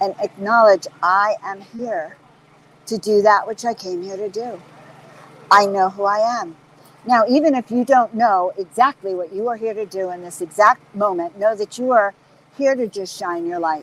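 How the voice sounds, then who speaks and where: Here a woman speaks at a moderate pace and medium pitch, with ordinary pitch variation. The sound is dry and close, with no echo. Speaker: spiritual teacher. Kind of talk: inspirational talk. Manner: animated.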